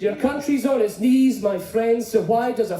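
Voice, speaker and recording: Over noticeable background noise, a man with a Scottish accent and a high pitch speaks at a fairly slow pace. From Scotland. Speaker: poet and performer. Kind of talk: spoken word performance. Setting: stage with audience.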